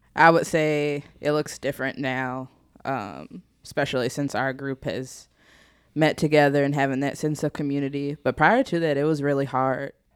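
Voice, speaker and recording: Pitched very deep and low, a woman with a Southern US accent talks at a moderate pace with fairly even intonation, in a very clean recording with a silent background. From US South. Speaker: former church intern. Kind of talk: casual chat.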